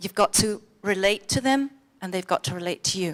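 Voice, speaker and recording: With an English accent, a woman speaks at a moderate pace in a medium pitch with lively intonation. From England. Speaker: conference speaker. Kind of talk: conference talk. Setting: stage with audience. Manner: animated.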